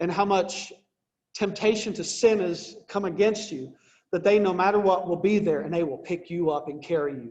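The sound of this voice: Ordinary pitch variation runs through this unforced reading voice. It is quiet in the background.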